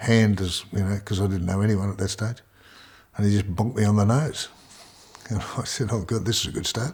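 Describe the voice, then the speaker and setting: With an Australian accent, a man speaks at a moderate pace in a somewhat breathy voice. The recording is very clean with a silent background. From Melbourne, Australia. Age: 70s. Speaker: retired farmer and former sportsman. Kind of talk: life story interview. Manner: halting, many repetitions.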